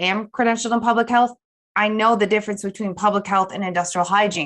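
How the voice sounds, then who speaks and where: A woman with a medium pitch talks in a plain, everyday voice, her pitch varying in an ordinary way. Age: 30s. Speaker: industrial hygienist. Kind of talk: casual interview.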